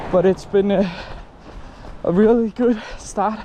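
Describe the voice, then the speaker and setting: Amid noticeable background noise, a man with a Danish accent talks at a fairly slow pace in a high pitch with fairly even intonation. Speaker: running vlogger. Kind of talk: casual vlog. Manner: halting.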